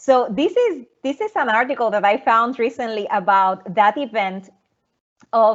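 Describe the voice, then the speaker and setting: A woman with a Puerto Rican accent speaks at a fairly high pitch and fairly slow pace with ordinary pitch variation. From Puerto Rico, Arroyo. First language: Spanish. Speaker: research scientist. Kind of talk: presentation talk. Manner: halting, many repetitions.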